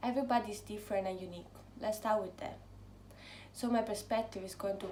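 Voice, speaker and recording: A woman speaks with an Italian accent, with audible room echo and noticeable background noise. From Italy, near Rome. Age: 20s. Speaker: book vlogger. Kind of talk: casual vlog talk.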